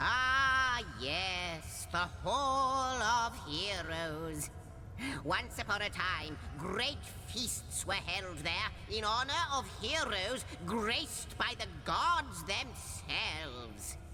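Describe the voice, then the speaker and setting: A put-on character voice at a very slow pace, over loud background noise. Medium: video game. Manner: wordy, theatrical, jokey.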